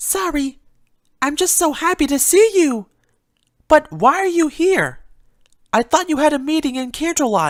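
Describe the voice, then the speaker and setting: A squeaky, high-pitched put-on character voice. Long, frequent pauses break up the speech. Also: moderate pace. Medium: read story. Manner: soft, timid.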